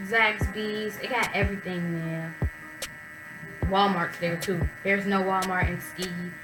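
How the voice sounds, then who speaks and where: A woman speaks at a medium pitch and a fairly slow pace. Music plays in the background, and the room echo is audible. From US Midwest, Chicago. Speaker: college student vlogger. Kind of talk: casual vlog. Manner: animated.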